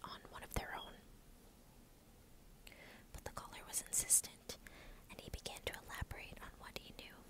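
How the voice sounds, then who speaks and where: Whispering, a woman keeps to a moderate pace. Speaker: ASMR storyteller. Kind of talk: whispered true crime narration. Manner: whispered, soft. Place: home room. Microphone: earbuds.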